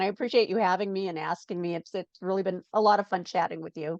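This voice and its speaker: In a normal speaking voice, a woman talks at a fairly quick pace with a medium pitch and ordinary pitch variation, the sound dry and close with no echo. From Chicago south suburbs, Illinois. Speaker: children's author. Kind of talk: casual interview.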